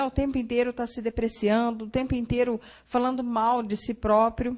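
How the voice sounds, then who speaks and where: Speaking fairly slowly, the woman uses a high voice. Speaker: psychologist giving a church talk. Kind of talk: lecture. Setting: church Sunday school class.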